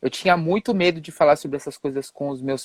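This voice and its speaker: Recorded with a dry, close sound and no echo, a man talks at a moderate pace in a plain, everyday voice with ordinary pitch variation. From Brazil, São Paulo. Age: 40s. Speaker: live stream guest. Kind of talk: testimony.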